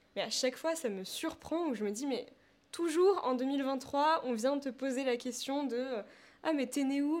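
Recorded very cleanly against a silent background, a woman talks fairly slowly in a high pitch with ordinary pitch variation. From France, Paris. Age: 20s. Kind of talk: interview conversation.

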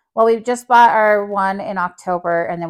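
Recorded very cleanly against a silent background with a dry, close sound and no echo, a woman with an American accent speaks at a fairly quick pace with ordinary pitch variation. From New Mexico, US. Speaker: mother and studio co-founder. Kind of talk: casual chat.

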